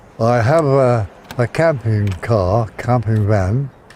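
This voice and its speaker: There is noticeable background noise behind this man. His medium-pitched voice has lively intonation. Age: 80s+. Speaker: retired sea swimmer. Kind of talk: documentary interview.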